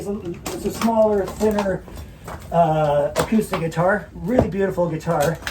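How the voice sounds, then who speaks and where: Against noticeable background noise, a man talks at a high pitch and a moderate pace with fairly even intonation. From Canada. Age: 60s. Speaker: rock musician. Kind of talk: casual interview chat. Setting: sap house.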